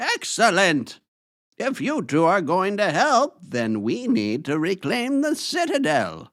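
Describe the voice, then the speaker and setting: A man puts on a character voice, pitched high. He speaks fairly slowly, his pitch swinging very widely. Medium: audio drama. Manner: solemn, authoritative.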